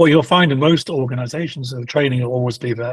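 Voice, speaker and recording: Very fast, somewhat breathy speech with a British accent. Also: man. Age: 60s. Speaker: procurement executive. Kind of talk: interview.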